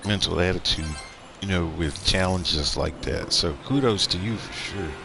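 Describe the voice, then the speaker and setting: The speaker is a man with an American accent. He keeps a moderate pace. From United States. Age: 40s. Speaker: game streamer. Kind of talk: casual chat. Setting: live stream.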